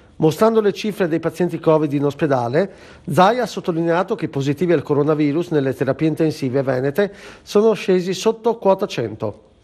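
Lively in intonation and fairly high in pitch, a man speaks at a fairly quick pace with a dark, mellow tone. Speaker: regional news anchor. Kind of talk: news reading.

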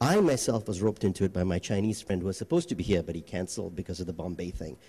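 A man talks fast with lively intonation. His tone is dark and mellow.

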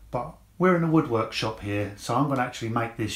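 A somewhat breathy man at a fairly quick pace, with audible room echo. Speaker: woodworking channel host. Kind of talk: tutorial. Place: workshop. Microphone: lapel.

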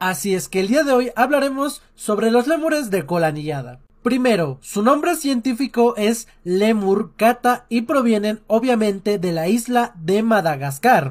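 Very wide pitch swings at a fairly slow pace. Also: man, quiet background. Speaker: animal facts creator. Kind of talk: educational commentary. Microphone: phone near.

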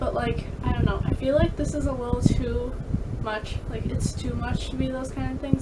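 A woman keeps up a fairly quick pace while loud background noise fills the recording. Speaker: vlogger. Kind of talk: casual vlog chat. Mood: concerned, thoughtful. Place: home room. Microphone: webcam.

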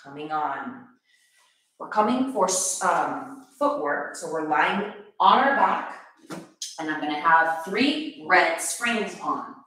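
A woman at a very slow pace, with long, frequent pauses, big swings in loudness and strong room echo. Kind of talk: tutorial. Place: gym. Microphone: camera far.

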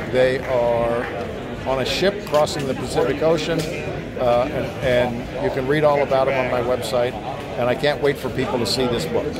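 There is loud background noise. A man speaks over it at a moderate speed. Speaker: magician and magic book publisher. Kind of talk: interview. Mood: enthusiastic. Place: hall. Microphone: phone near.

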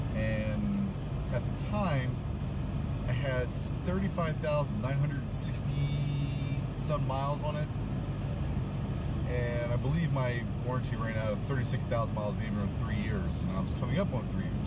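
With music in the background, a man speaks at a fairly slow pace, leaving long, frequent pauses. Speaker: car owner vlogger. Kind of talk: casual vlog chat. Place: car. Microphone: camera far.

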